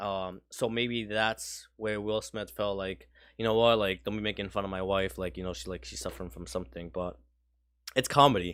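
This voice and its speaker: On a very clean recording with a silent background, a man with a slight Spanish accent talks in a fairly low voice with ordinary pitch variation. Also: moderate pace. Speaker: podcast co-host. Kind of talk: casual chat.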